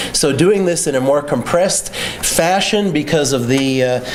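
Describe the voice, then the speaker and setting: A man is heard through audible room echo and noticeable background noise. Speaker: copyright lawyer and litigator. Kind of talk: lecture.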